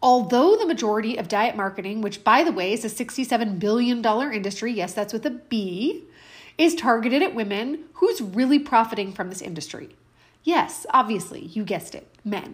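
A woman with a fairly high, somewhat breathy voice sounds animated and upbeat with lively intonation. She talks at a fairly quick pace on a very clean recording with a silent background. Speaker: health coach and podcast host. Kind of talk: solo podcast monologue; angry rant, mimicking a frustrated woman's inner voice. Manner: animated, upbeat, conversational; indignant, sarcastic, fired up, sharp and emphatic.

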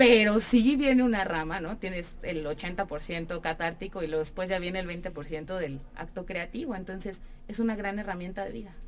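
At a moderate pace and with hardly any pauses, a woman speaks at a medium pitch with ordinary variation, amid noticeable background noise and audible room echo. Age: 30s. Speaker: actress and theatre producer. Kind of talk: radio interview. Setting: radio studio.

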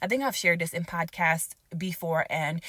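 A woman speaks in an animated, warm tone. Her voice also sounds bright and sharp. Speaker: podcast host. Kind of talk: solo faith-based podcast talk.

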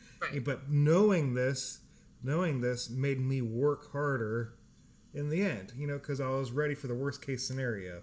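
With an American accent, a man talks at a moderate pace in a normal speaking voice, his pitch varying in an ordinary way. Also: medium pitch for a man. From California. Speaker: podcast host, military veteran. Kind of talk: casual chat.

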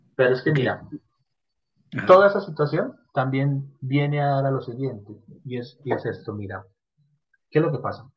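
A man's fairly high, somewhat breathy voice, broken by long, frequent pauses. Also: ordinary pitch variation, moderate pace. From Colombia, Medellín. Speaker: podcast collaborator. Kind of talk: casual chat.

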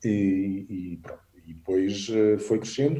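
A man's fairly low, somewhat breathy voice with a dark, mellow tone and ordinary pitch variation. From Portugal, Alentejo (Vendas Novas). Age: 40s. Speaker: travel photographer and adventure tour operator. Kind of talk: casual interview chat.

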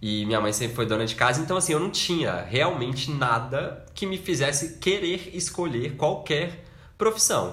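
A man's fairly high voice makes very wide pitch swings in a room with audible echo. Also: moderate pace. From Brazil, Minas Gerais. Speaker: podcast co-host, architect. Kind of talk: casual chat.

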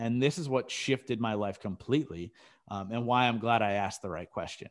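A man uses an ordinary speaking voice at medium pitch and a fairly quick pace, with lively intonation. The recording is very clean, with a silent background. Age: 30s. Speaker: podcast host appearing as guest. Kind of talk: interview.

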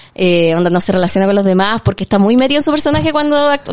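A woman talks at a very fast pace in an animated tone, her pitch swinging very widely. Noticeable background noise is present. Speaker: film podcast host. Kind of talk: casual chat.

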